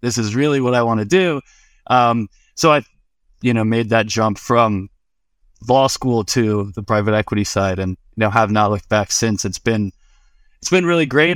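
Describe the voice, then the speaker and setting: In a normal speaking voice, a man with an American accent talks at a moderate pace and medium pitch, with ordinary pitch variation. The sound is dry and close with no echo, and the recording is very clean with a silent background. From Florida, US. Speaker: cannabis and crypto professional. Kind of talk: casual interview chat.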